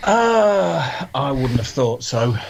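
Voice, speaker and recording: A man's voice over noticeable background noise. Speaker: ice hockey podcast panelist. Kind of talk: casual chat. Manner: slow.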